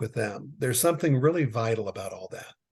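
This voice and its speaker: The man's voice sits at a medium pitch and is somewhat breathy. He talks at a fairly quick pace against a quiet background. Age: 60s. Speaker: business consultant. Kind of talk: casual chat.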